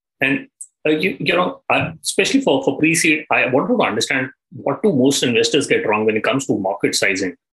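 Using vocal fry, a man talks at a fairly quick pace and fairly high pitch, with very wide pitch swings and very even loudness. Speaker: podcast host. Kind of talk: interview.

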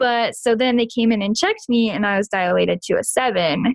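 An ordinary speaking voice from a woman with an American accent, fairly high in pitch, with ordinary pitch variation and a fairly quick pace. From Kansas. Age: 20s. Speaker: new mother sharing birth story. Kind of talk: casual interview, personal story.

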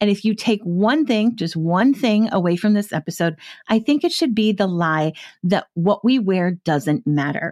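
A woman's medium-pitched voice with lively intonation, dry and close with no echo, in a very clean recording over a silent background. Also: very even loudness. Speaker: podcast host, wardrobe stylist. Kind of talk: casual podcast monologue. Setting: studio. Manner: fast.

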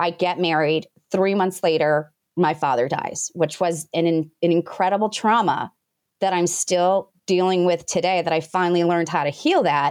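A woman with a normal speaking voice speaks in an American accent, at a fairly low pitch with fairly even intonation. Her loudness stays very even, and the background is quiet. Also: moderate pace. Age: 40s. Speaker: business founder and coach. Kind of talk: interview.

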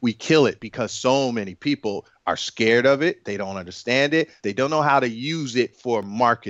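A man speaks in a normal speaking voice at a medium pitch, keeping a moderate pace with hardly any pauses and ordinary pitch variation. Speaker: app and web developer. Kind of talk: casual interview chat.

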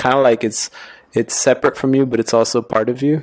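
Talking at a fairly quick pace, a man keeps a medium pitch and monotone, flat intonation. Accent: American. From New York. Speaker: tattoo artist guest. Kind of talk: casual conversation. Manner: fast talker.

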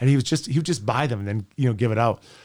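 Recorded very cleanly against a silent background, a man with an Albertan accent speaks with ordinary pitch variation. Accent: Canadian (Alberta). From Edmonton, Alberta, Canada. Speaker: former pro hockey player, sports radio host. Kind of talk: casual interview chat. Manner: animated storytelling.

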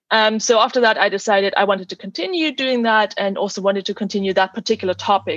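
With a German accent, a woman talks very fast at medium pitch with ordinary pitch variation against a quiet background. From Germany. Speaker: physicist. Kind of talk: interview.

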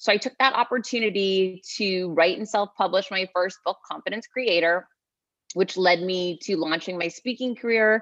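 A woman speaks at a moderate pace with an American accent, medium pitch and lively intonation, in an ordinary speaking voice. The sound is dry and close, with no echo. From Massachusetts (Worcester). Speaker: author and executive coach. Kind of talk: interview.

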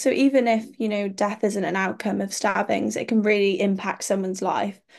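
A woman with a Cardiff accent, at a moderate pace. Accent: Cardiff Welsh English. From Wales, Cardiff. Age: 20s. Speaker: medical student and pageant titleholder. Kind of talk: interview. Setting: remote call.

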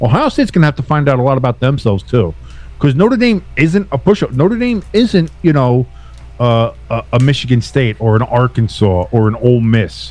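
Music can be heard behind the voice. The man's delivery is fairly quick. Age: 40s. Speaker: sports podcast guest. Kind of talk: casual chat. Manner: animated.

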